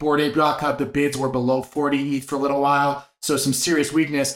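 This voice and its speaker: Here is a man with a plain, everyday voice. He speaks at a moderate pace. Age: 40s. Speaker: NFT market show host. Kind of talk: daily market news rundown. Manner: casual, filler-heavy delivery.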